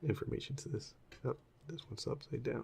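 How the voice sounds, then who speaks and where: A soft-spoken man talks in a relaxed tone. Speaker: ASMR content creator. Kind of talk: ASMR show and tell, casual talk to camera. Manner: soft-spoken, relaxed.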